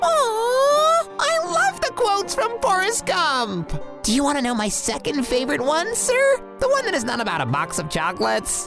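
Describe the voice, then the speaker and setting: A cartoonish character voice goes at a moderate pace over clear music in the background. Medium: puppet. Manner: polite, enthusiastic.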